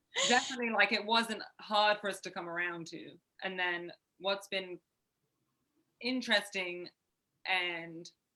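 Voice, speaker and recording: In an English accent, the voice has a bright, sharp tone, a fairly slow pace, ordinary pitch variation, big swings in loudness and long, frequent pauses. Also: woman, medium pitch for a woman. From Southwest England. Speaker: urban farmer. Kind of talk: interview.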